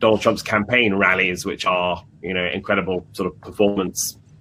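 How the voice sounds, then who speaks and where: With a British accent, a man speaks at a moderate pace in a fairly low pitch and monotone, flat intonation. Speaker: journalist. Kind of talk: interview. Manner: halting, many repetitions.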